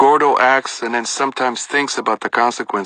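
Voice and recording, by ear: Natural-voiced reading aloud with fairly even intonation.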